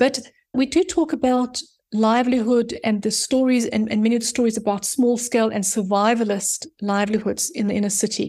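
A woman with a fairly high pitch and a somewhat breathy voice speaks with ordinary pitch variation in a very clean recording with a silent background. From South Africa, Johannesburg. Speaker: urban planner and author. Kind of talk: casual interview.

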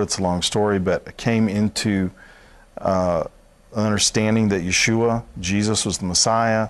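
With a Southern US accent, a man speaks at a moderate pace in a fairly low pitch, his intonation fairly even. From Alabama. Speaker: Messianic minister. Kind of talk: interview.

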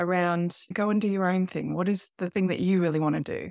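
In an Australian accent, a woman talks at a fairly quick pace and a fairly low pitch on a very clean recording with a silent background. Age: 40s. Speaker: life coach. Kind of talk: interview.

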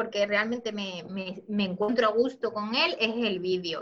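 Ordinary pitch variation from a woman speaking at a fairly slow pace. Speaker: image consultant and YouTuber. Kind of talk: interview. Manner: calm.

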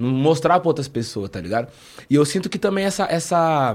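A man speaks in an unremarkable speaking voice at a moderate pace, his intonation lively. The recording is very clean, with a silent background. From interior of São Paulo state (Taubaté). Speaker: rapper. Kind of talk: casual interview.

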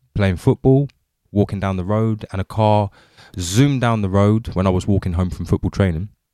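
Dry and close with no echo, this is a man with a southern English accent and a dark, mellow tone. His pitch sits fairly low with ordinary variation, and he moves at a moderate pace. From England (Windsor area). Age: 30s. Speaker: podcast host. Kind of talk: casual chat. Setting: video call.

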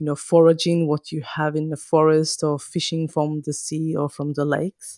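A woman with a Finnish accent, very deep, low pitch, a dark, mellow tone, monotone, flat intonation and moderate pace, on a very clean recording with a silent background. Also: dry, close sound with no echo. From northern Finland, Kajaani. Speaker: podcaster and mother. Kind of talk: interview conversation.

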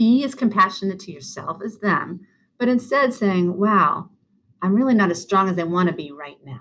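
A woman's medium-pitched voice with an American accent and lively intonation. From Boston, US. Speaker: clinical social worker and speaker. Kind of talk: guided breathing exercise; casual chat. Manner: fast.

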